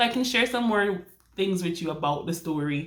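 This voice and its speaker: Speaking in a Jamaican accent, a woman uses lively intonation, with audible room echo around her voice. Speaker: romance author and vlogger. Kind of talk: casual vlog. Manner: chatty, with many fillers and restarts.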